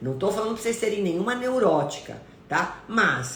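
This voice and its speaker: A woman talks in an animated tone, her pitch swinging very widely. The room echo is audible, and there is noticeable background noise. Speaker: nutritionist. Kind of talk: live stream talk. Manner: stern-sounding intonation.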